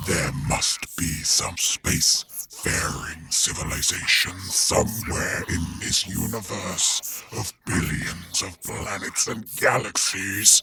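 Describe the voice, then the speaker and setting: A man's put-on character voice, growling and menacing in tone, very deep and low in pitch, at a very slow pace with hardly any pauses. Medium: read story. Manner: cold, slow, menacing.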